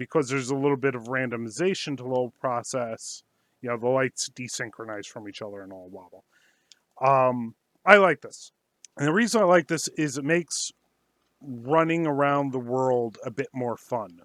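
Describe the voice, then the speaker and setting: In an unremarkable speaking voice, a man talks at a moderate pace and medium pitch with ordinary pitch variation, though his loudness swings widely. The sound is dry and close with no echo, a very clean recording with a silent background. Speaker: indie game developer. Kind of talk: devlog narration. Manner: casual, with filler words.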